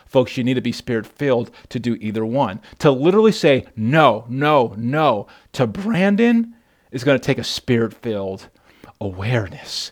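At a moderate pace, a man with a medium-pitched voice sounds animated, his intonation lively. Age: 30s. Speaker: pastor. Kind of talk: sermon.

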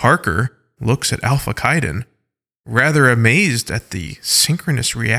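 Ordinary pitch variation in plain reading aloud, quiet in the background

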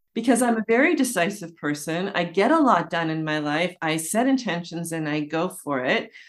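A woman speaks in an ordinary speaking voice at a fairly low pitch with lively intonation. Her pace is moderate, with hardly any pauses. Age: 60s. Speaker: online community builder. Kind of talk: casual chat.

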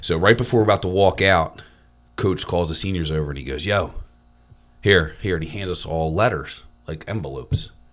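The speaker has an American accent and vocal fry. Long pauses come often. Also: man, very deep, low pitch for a man, ordinary pitch variation. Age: 40s. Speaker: football coach and real estate agency owner. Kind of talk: casual chat.

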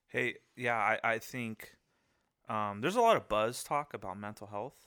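A man with an American accent speaks in a bright, sharp tone, taking long, frequent pauses and swinging widely in loudness. The recording is very clean and the background silent. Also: medium pitch for a man, fairly even intonation, moderate pace. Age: 20s. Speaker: podcast co-host. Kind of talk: casual chat.

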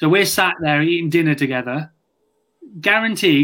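A man with a British accent talks at a high pitch. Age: 30s. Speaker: podcast co-host. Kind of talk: casual interview chat.

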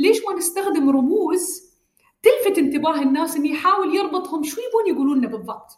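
With an Emirati accent, a woman speaks at a moderate pace in an extremely high pitch and lively intonation. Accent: Emirati Gulf Arabic. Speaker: government digital agency director. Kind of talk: interview.

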